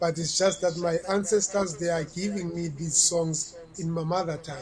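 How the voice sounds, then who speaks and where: Against noticeable background noise, a man with a South African accent speaks at a moderate pace and a high pitch, with fairly even intonation. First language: Xhosa. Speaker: reggae artist. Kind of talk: interview.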